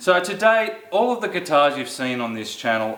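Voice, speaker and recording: A man with an Australian accent speaks at a fairly high pitch with very wide pitch swings, and there is audible room echo. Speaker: guitar reviewer, channel owner. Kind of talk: casual product review. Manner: casual, conversational.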